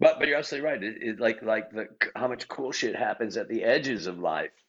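Speaking at a fairly quick pace, a man talks at a medium pitch. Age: 60s. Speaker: improv teacher and performer. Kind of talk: casual chat. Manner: halting.

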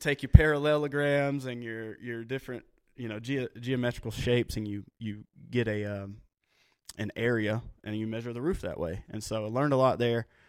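A man's normal speaking voice at a medium pitch, fairly quick and fairly even in intonation, with big swings in loudness. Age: 30s. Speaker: roofing business owner. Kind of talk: casual chat.

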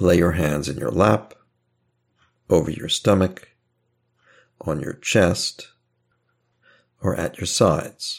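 In a very deep, low voice with vocal fry, a man speaks very slowly in a calm, soothing tone, with ordinary pitch variation and long, frequent pauses. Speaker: hypnotherapist guiding listeners. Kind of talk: guided hypnosis induction. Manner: slow, calm, soothing, hushed and unhurried.

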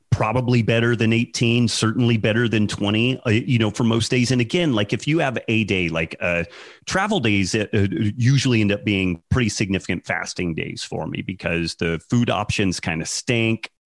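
This man has an ordinary speaking voice at a medium pitch, talking at a moderate pace with ordinary pitch variation. The very clean recording has a silent background and a dry, close sound with no echo. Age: 40s. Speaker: podcaster and health author. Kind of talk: interview. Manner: repeats words often.

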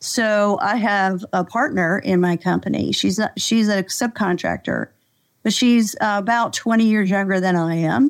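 A woman's ordinary speaking voice with an American accent, medium in pitch, at a fairly slow pace and very even loudness, on a very clean recording with a silent background. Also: ordinary pitch variation. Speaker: executive coach. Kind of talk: casual interview chat.

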